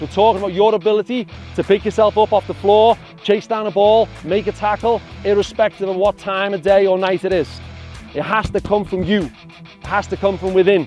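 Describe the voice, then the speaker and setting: Someone speaks at a fairly quick pace with a Scouse accent. Music plays in the background. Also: man, high pitch for a man, fairly even intonation. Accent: Scouse (Liverpool English). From England. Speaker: youth soccer coach. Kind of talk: motivational speech to a youth team.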